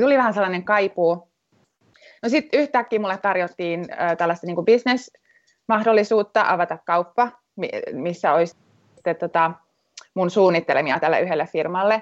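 At a moderate pace, a woman with a medium pitch uses lively intonation and takes long, frequent pauses. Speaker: returnee fashion designer. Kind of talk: interview. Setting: phone call.

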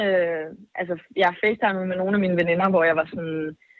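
This woman has an ordinary speaking voice at a medium pitch. She talks at a fairly quick pace. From Denmark. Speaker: singer. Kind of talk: casual chat. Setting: phone call.

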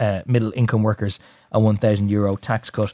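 A man with an Irish accent talks at a very fast pace in a dark, mellow tone. The sound is dry and close with no echo, and the recording is very clean with a silent background. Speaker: radio host. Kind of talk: current affairs newspaper review. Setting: studio.

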